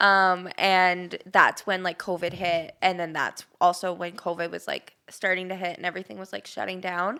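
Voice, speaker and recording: Speaking at a moderate pace with hardly any pauses, a woman with a Canadian accent has a medium pitch, a bright, sharp tone, fairly even intonation and big swings in loudness, in a very clean recording with a silent background. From Ontario, Canada. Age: 20s. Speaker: cancer survivor. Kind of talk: podcast interview. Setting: studio.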